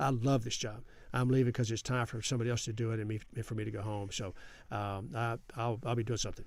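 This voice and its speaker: A man talks at a very fast pace in a West Texas accent. His pitch is medium and his intonation fairly even. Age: 70s. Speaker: congressman. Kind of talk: interview.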